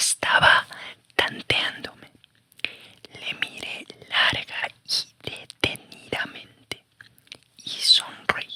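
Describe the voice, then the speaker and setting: The voice is a man whispering. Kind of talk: audiobook reading of a nonfiction negotiation memoir. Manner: whispered, soft.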